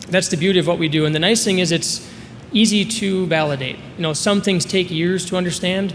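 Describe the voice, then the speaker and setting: Very fast, high-pitched speech from a man with an American accent and fairly even intonation, amid audible room echo and noticeable background noise. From Minnesota, US Midwest. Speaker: sales presenter for a telemedicine company. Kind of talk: conference presentation.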